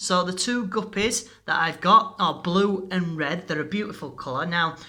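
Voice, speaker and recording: A high-pitched man with a bright, sharp tone speaks amid audible room echo. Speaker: hobbyist fish keeper video maker. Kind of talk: casual tutorial narration. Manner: hesitant, many fillers.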